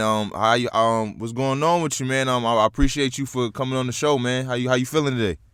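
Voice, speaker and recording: A man talks at a fairly quick pace with hardly any pauses, his medium-pitched voice keeping a fairly even intonation. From New York. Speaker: podcast host. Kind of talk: casual interview. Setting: call with guest.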